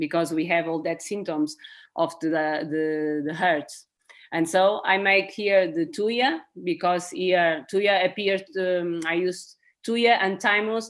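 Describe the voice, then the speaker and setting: Here a woman with a Portuguese accent speaks at a fairly low pitch. She goes at a very slow pace. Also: ordinary pitch variation. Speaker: herbal medicine practitioner. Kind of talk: webinar presentation. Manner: halting.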